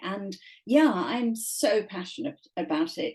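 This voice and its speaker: With an English accent, a woman speaks in a fairly high, somewhat breathy voice with a dark, mellow tone and lively intonation. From England. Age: 70s. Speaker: author. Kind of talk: casual chat. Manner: animated.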